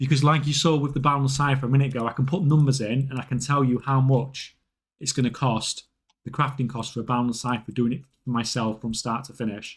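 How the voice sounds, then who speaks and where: Fairly quick, somewhat breathy speech from a man at medium pitch, with fairly even intonation. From northern England. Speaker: gaming live streamer. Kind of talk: casual live stream chat while gaming. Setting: live stream.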